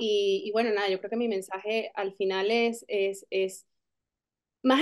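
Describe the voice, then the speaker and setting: Over a quiet background, a woman is talking. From Venezuela. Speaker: actress. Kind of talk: interview. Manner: halting, many fillers and repetitions. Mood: warm, smiling. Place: home room. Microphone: video call.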